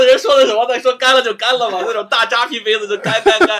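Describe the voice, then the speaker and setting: A man speaks in a raised, projected voice. He goes at a very fast pace. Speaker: guest. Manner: halting, repeats words.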